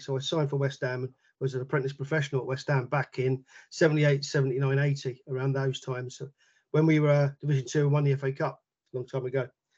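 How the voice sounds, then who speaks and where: Speaking at a very fast pace in a London accent, a man with a fairly high pitch sounds somewhat breathy, his intonation monotone and flat. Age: 50s. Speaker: football coach and researcher. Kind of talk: casual interview chat.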